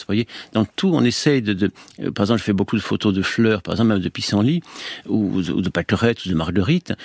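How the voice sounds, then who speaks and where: A man's fairly low voice at a very fast pace, dry and close with no echo, in a very clean recording with a silent background. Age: 70s. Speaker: orthodox monk and priest. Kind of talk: radio interview. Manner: halting.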